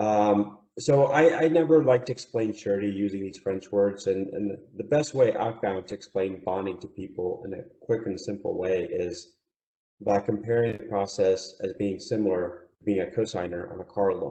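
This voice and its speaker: In a non-native accent, a man speaks with lively intonation and big swings in loudness. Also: fairly low pitch for a man, moderate pace. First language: not English. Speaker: surety bonding agent. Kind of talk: webinar presentation. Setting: online webinar.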